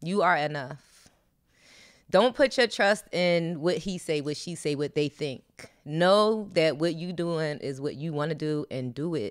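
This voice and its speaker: A woman's fairly low voice with lively intonation at a fairly slow pace, in a very clean recording with a silent background. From Philadelphia, US. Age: 40s. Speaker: former dancer and podcast co-host. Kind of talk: casual interview.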